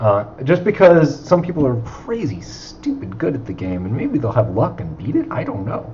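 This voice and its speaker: Audible room echo follows a man talking at a moderate pace. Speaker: indie video game developer. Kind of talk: casual chat. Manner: halting; mumbling.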